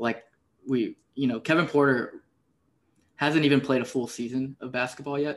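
With an American accent, a man speaks at a moderate pace in a monotone, flat intonation, leaving long, frequent pauses. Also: medium pitch for a man. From Houston, Texas. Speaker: podcast host. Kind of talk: casual chat.

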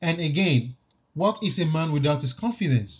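A man's somewhat breathy voice moves at a moderate pace, its intonation lively. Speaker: podcast host. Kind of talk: solo monologue podcast.

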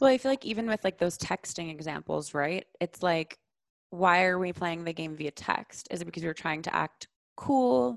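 With an unremarkable speaking voice, a woman speaks at a moderate pace and fairly low pitch, with lively intonation and a dry, close sound with no echo. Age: 20s. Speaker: somatic sexologist. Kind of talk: casual chat.

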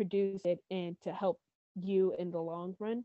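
A woman's medium-pitched voice with an American accent, fairly slow and monotone, with flat intonation. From US Appalachia / Carolinas. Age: 20s. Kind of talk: casual interview chat. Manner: hesitant, filler-heavy.

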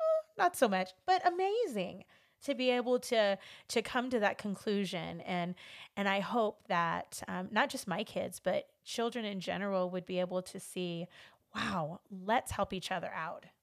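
A woman with a Californian accent speaks at a fairly slow pace and a medium pitch. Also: ordinary pitch variation, very clean recording, silent background. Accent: Californian American English. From Los Angeles, US. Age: 40s. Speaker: podcast host. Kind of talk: casual interview chat.

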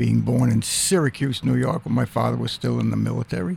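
A man speaking fairly quickly is heard against noticeable background noise. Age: 70s. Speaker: church member. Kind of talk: radio interview, casual chat.

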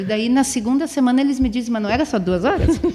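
Over noticeable background noise, a woman talks at a fairly quick pace in a high-pitched voice. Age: 40s. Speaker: PE teacher and scout leader. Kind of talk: casual interview. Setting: studio.

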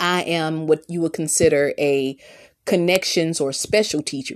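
With a Southern US accent, a woman speaks in an animated tone at a fairly slow pace, her fairly low voice showing ordinary pitch variation. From US South. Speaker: podcast host, teacher and mother. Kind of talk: solo podcast monologue.

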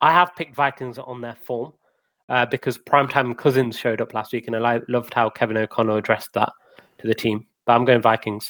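With an English accent, a man talks at a medium pitch and fairly quick pace in a dry, close, very clean recording with no echo and a silent background. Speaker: podcast co-host. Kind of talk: casual chat.

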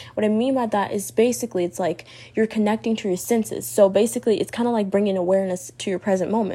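At a very fast pace, a woman talks in a dark, mellow tone with ordinary pitch variation. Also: medium pitch for a woman. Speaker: podcast host. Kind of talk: solo podcast monologue about mental health tips. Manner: casual, filler-heavy.

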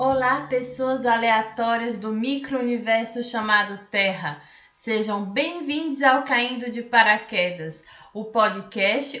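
Very slowly, the words come through amid clear background noise and a noticeable echo from the room. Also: woman. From Brazil, western Bahia (Barreiras). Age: 20s. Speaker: podcast host, exchange student. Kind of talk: scripted podcast introduction.

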